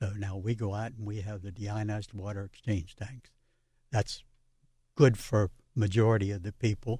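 At a moderate pace broken by long, frequent pauses, a man speaks in a fairly low, somewhat breathy voice with a dark, mellow tone and big swings in loudness. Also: fairly even intonation. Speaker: water treatment business owner. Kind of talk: radio interview.

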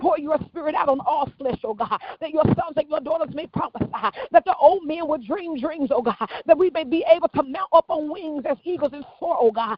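An intense tone comes at a fairly quick pace over noticeable background noise. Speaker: prayer leader. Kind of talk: fervent corporate prayer, intercession. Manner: intense, urgent, pleading; rhythmic, repeating 'oh God' after each phrase.

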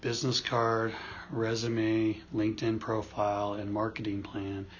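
Somewhat breathy, a man speaks at a moderate pace with a medium pitch. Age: 40s. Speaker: podcast co-host, job search coach. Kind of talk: casual chat. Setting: studio, face to face.

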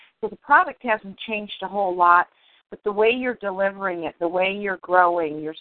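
This woman has a plain, everyday voice with an American accent. Her pitch is fairly low, her pace moderate, and her pitch variation ordinary. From Detroit, US Midwest. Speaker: interviewer, book coach. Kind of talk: casual interview.

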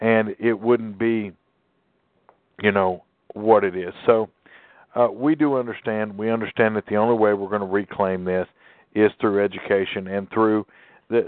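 Long, frequent pauses from a man with a Southern US accent, his fairly low voice moving at a moderate pace with fairly even intonation. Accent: southern twang. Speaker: talk radio host. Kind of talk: call-in radio talk.

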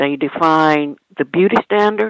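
A woman's very deep, low-pitched voice. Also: dry, close sound with no echo. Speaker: caller. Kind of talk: call-in talk radio. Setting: phone call.

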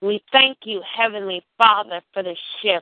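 An unremarkable speaking voice from a woman, medium in pitch, with ordinary pitch variation and a fairly slow pace. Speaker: prayer call leader and minister. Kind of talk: fervent prayer. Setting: phone prayer call. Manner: rhythmic, repetitive, pleading; intense, emotionally charged, worshipful.

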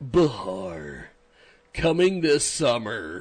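A man puts on a character voice at medium pitch. His pitch swings very widely. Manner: dramatic.

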